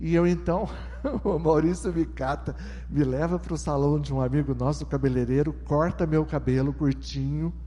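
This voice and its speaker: There is audible room echo around this man's voice. He keeps to a moderate pace. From southeastern Brazil (São Paulo coast, Minas Gerais). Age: 60s. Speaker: testimony speaker at church. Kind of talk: testimony. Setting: church with congregation.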